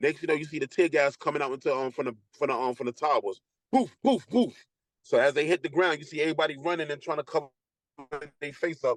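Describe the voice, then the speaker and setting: Speaking at a very fast pace in a Brooklyn accent, a man with a fairly high pitch sounds dry and close with no echo. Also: ordinary pitch variation. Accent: New York (Brooklyn). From Brooklyn, New York. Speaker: former prisoner. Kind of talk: interview storytelling. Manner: loud, projecting; halting, many restarts.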